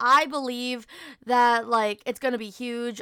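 On a very clean recording with a silent background, a woman with a high pitch talks in monotone, flat intonation. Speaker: podcast host and streamer. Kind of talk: casual solo chat. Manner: fast talker when nervous; casual, filler-heavy.

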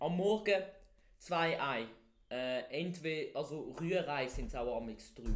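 Speaking at a very slow pace, a man uses a fairly high pitch with long, frequent pauses. Audible room echo surrounds his voice. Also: lively intonation. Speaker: podcast co-host. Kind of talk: casual chat. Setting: basement. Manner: loud.

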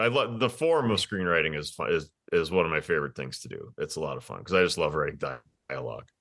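The speaker is a man with an American accent. His tone comes across as bright and sharp. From Wisconsin. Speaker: writer and parenting blogger. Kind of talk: casual interview chat.

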